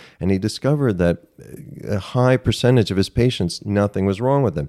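A normal speaking voice from a man with an American accent, fairly low in pitch, fairly quick in pace, ordinary in pitch variation, in a dry, close sound with no echo. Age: 50s. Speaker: author and screenwriter. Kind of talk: casual chat.

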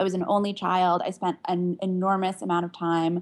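With an American accent, a woman with an unremarkable speaking voice talks at a fairly quick pace and a fairly low pitch. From Pittsburgh, Pennsylvania, US. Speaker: author, memoirist. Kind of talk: interview.

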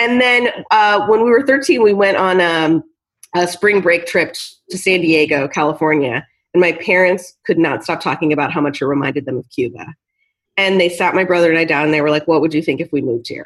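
A woman's fairly low voice with an American accent, lively intonation, a fairly quick pace, and an ordinary speaking voice. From US Pacific Northwest. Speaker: TV writer and showrunner. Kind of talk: interview.

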